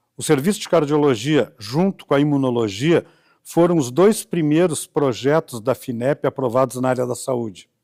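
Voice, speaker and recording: In a very clean recording with a silent background and a dry, close sound with no echo, a man with a dark, mellow tone speaks at a moderate pace with ordinary pitch variation. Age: 70s. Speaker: biologist and bioethicist. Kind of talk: oral history interview. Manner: halting, with self-corrections.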